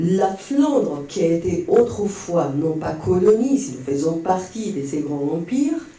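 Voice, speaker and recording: Room echo and noticeable background noise surround a man with a Spanish accent who speaks very slowly at a high pitch with very wide pitch swings. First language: Spanish (speaking French). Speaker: audience member. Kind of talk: Q&A comment at a conference. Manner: halting, many hesitations.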